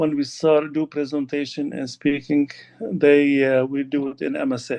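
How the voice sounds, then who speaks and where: A man speaks at a moderate pace with a fairly high pitch and a dark, mellow tone. His intonation stays flat and monotone. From Lebanon. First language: Arabic. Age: 60s. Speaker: Arabic teacher. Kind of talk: interview. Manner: halting.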